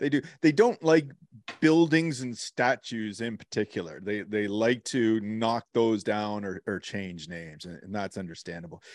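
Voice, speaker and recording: Against a quiet background, a man with an ordinary speaking voice talks at a moderate pace with lively intonation and a fairly low pitch, the sound dry and close with no echo. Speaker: podcast co-host. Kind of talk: casual chat. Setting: video call.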